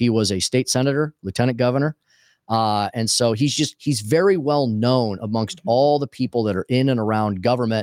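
A man with a plain, everyday voice and an American accent, medium pitch and ordinary pitch variation, on a very clean recording with a silent background and a dry, close sound with no echo. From Missouri, St. Louis area. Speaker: talk radio host and former state politician. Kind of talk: political interview. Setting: studio.

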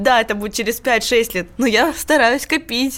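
An unremarkable speaking voice from a woman, fairly high in pitch, at a moderate pace. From southern Russia, Rostov-on-Don. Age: young. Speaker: food courier. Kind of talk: interview. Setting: studio.

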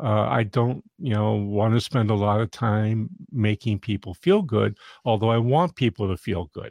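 With a normal speaking voice, a man talks at a moderate pace and a fairly low pitch, with ordinary pitch variation. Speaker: business consultant and podcast host. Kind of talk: interview conversation. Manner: casual, uses fillers.

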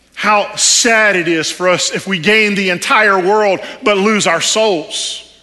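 In a Texan accent, a man with a high pitch speaks very slowly in a raised, projected voice with fairly even intonation, and audible room echo surrounds him. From Texas. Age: 40s. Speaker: preacher, former army chaplain. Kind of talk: sermon. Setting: church service.

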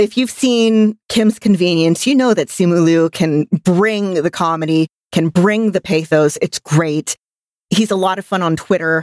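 Here is an unremarkable speaking voice with an American accent, a fairly slow pace, ordinary pitch variation and very even loudness. The recording is very clean, with a silent background and a dry, close sound with no echo. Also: woman, fairly low pitch for a woman. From United States. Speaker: podcast co-host. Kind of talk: casual chat.

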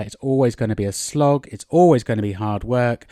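The speaker has an English accent. The sound is dry and close, with no echo. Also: man. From England. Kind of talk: solo podcast monologue, language-learning tips. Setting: outdoors in a garden. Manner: casual, chatty with fillers.

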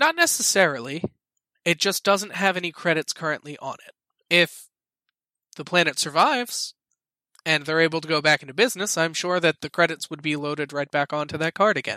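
Using a put-on character voice, a man speaks at a fairly quick pace and a high pitch. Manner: grave, earnest, dry.

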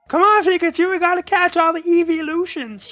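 Someone does a put-on character voice at an extremely high pitch. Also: fairly quick pace. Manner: enthusiastic, playful.

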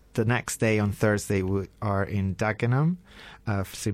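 In a very clean recording with a silent background, a man speaks with an Italian accent. His pitch is fairly low and his pace fairly slow. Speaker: radio co-host, co-founder of a repair project. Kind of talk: radio talk show, casual chat. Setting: radio studio.

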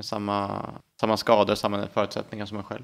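With a plain, everyday voice, a man speaks at a fairly quick pace in a fairly low pitch. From Sweden, Härnösand, Ångermanland. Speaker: city planner and spinal cord injury survivor. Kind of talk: interview conversation.

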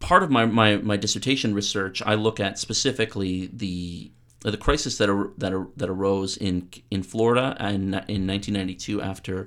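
With a Canadian accent and fairly even intonation, the voice moves at a moderate pace in a very clean recording with a silent background. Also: man. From Canada. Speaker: PhD candidate in political studies. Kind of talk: radio interview. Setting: radio studio. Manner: halting, many repetitions.

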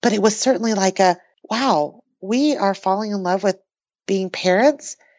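A woman speaks at a fairly quick pace in a plain, everyday voice, her pitch medium with ordinary variation. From New Mexico, US (born in Taiwan). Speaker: author and artist. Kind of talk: casual interview.

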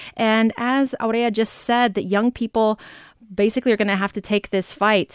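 A woman with a plain, everyday voice talks at a fairly quick pace and a fairly high pitch with fairly even intonation, in a very clean recording with a silent background and a dry, close sound with no echo. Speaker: radio host. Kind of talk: panel discussion. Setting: studio.

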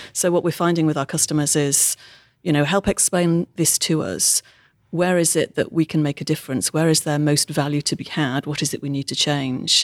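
A woman with a British accent speaks at a moderate pace in a very deep, low pitch with fairly even intonation. The recording is very clean, with a silent background and a dry, close sound with no echo. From UK. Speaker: technology consultant. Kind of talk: interview.

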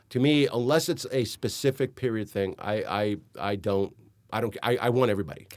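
A man speaks at a fairly quick pace in a plain, everyday voice, medium in pitch with ordinary pitch variation, on a very clean recording with a silent background. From Miami, Florida (Hialeah), Cuban-American family. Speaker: film and television director. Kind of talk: casual interview. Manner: frequent fillers and repetitions.

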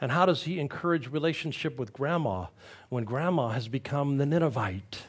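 Lively in intonation, a man speaks at a moderate pace with a fairly high pitch and vocal fry. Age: 60s. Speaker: pastor. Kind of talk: sermon.

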